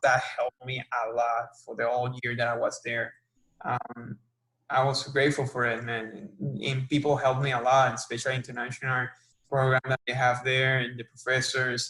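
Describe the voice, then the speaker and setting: A man's bright, sharp tone in a Spanish accent, with monotone, flat intonation. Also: medium pitch for a man, moderate pace. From Puerto Rico, Arecibo. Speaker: sports marketing professional. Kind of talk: interview. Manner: halting.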